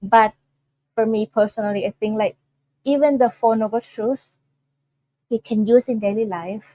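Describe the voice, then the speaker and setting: A woman with a Thai accent, fairly high in pitch, dark and mellow in tone, with fairly even intonation, a moderate pace, long, frequent pauses and a dry, close sound with no echo. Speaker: Buddhist nun teacher. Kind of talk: dharma talk. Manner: halting.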